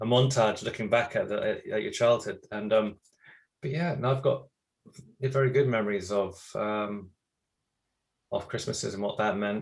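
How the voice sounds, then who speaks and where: Here a man with a British accent talks at a medium pitch with ordinary pitch variation. He leaves long, frequent pauses. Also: moderate pace. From England. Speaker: voice actor. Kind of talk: interview answer.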